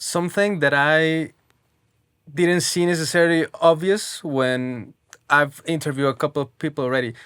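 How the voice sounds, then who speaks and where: Someone speaks with a non-native accent in a very clean recording with a silent background. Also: moderate pace. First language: not English. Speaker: interview show host. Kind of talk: interview.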